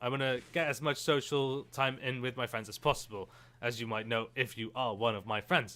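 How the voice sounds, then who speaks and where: A man with a bright, sharp tone speaks at a medium pitch with fairly even intonation in a very clean recording with a silent background. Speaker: gaming YouTuber. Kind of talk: let's play commentary. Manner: fast; casual, chatty.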